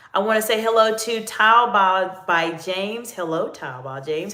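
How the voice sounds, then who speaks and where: Bright and sharp, a woman's fairly high voice with a Southern US accent moves at a moderate pace with lively intonation, hardly any pauses and big swings in loudness, in audible room echo. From US South, North Carolina. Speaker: executive coach. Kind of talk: live Q&A stream.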